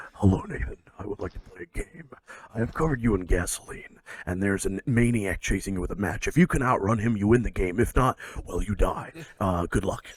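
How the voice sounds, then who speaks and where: A man's put-on character voice, fairly low in pitch, at a fairly quick pace. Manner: menacing, sinister, calm.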